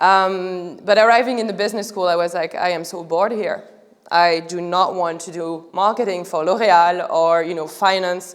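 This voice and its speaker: Medium-pitched woman at a moderate pace, fairly even intonation, big swings in loudness, audible room echo. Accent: strong French. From France. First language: French. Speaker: art startup founder. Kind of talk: public talk. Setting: museum stage with audience. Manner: halting, with many fillers.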